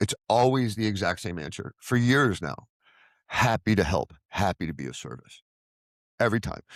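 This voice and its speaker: A man speaks loudly at a fairly quick pace in a fairly low pitch with very wide pitch swings, vocal fry and an animated tone, in a very clean recording with a silent background and a dry, close sound with no echo. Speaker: recovery vlogger, former addiction counselor. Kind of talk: personal monologue.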